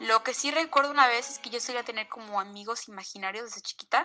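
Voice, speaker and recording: The pace of this woman's speech is very fast. Her pitch shifts in an ordinary way. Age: 20s. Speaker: listener sharing paranormal experiences. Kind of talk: testimony. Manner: halting.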